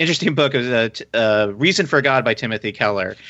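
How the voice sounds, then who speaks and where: With an ordinary speaking voice, a man talks at a fairly quick pace and medium pitch, his pitch varying in an ordinary way. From US military family, moved around (Virginia). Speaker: fan conference organizer. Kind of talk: interview.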